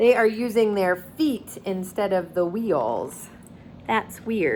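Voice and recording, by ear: In a natural voice, the speaker reads a passage aloud.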